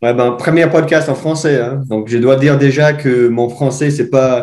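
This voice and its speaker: Fairly slow and even in intonation, a man with an Irish accent speaks at a medium pitch. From Ireland. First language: English (speaking French). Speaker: mountain bike coach. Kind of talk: podcast interview. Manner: halting, searching for words.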